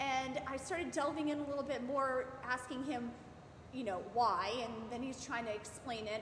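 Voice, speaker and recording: Loud and high-pitched, a woman talks with ordinary pitch variation amid audible room echo and noticeable background noise. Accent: American. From Maryland, US. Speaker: sports parent. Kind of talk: interview.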